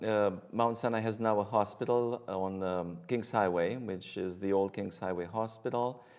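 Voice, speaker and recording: A fairly slow pace in a Romanian accent, with ordinary pitch variation. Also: man. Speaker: hematologist-oncologist. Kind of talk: interview. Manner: hesitant, many fillers.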